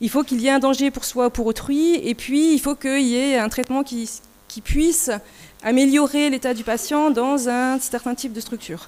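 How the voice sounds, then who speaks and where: A woman talks at a moderate pace in a high voice with ordinary pitch variation. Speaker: nurse researcher. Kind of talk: conference presentation.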